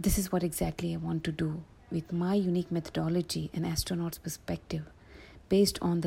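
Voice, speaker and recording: A woman's somewhat breathy voice with a dark, mellow tone, at a moderate pace, on a very clean recording with a silent background. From India, Andhra Pradesh. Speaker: life coach. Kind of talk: personal testimony interview. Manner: halting, many fillers.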